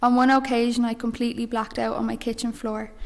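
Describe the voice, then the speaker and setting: Speaking with a Dublin accent, a woman talks at a fairly quick pace. Her pitch is high and her intonation monotone and flat. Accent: Dublin Irish. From Ireland, Dublin. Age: 20s. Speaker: mission member giving faith testimony. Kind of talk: testimony.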